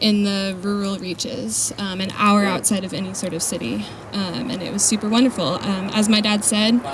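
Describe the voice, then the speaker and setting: Noticeable background noise sits behind a woman with an American accent. Her voice is medium in pitch, and her pace is moderate. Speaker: charity volunteer. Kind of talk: presentation to an audience. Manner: soft-spoken. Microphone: too quiet, told to hold mic closer.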